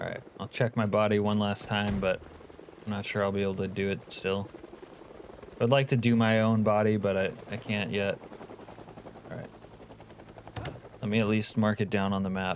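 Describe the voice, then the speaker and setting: At a moderate pace with long, frequent pauses, a man speaks in a fairly low voice over noticeable background noise. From Alaska. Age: 50s. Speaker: video game streamer. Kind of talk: casual live gaming commentary. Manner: animated.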